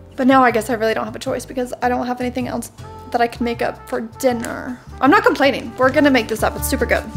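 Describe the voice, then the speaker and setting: Clear music plays behind the speaker. She, a woman, talks at a very fast pace. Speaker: vlogger. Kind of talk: casual vlog chat. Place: kitchen. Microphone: phone near.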